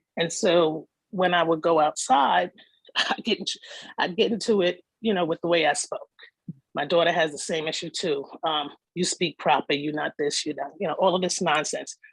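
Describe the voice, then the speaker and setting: A woman speaks in a Bronx accent at a fairly low pitch. Her pace is moderate and her pitch varies in an ordinary way. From New York City (the Bronx). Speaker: participant in community session. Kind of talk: personal testimony in group discussion.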